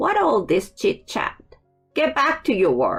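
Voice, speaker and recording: A put-on character voice, high-pitched and fairly slow, with hissing and faint music in the background. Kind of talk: curt, commanding. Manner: hissing, menacing.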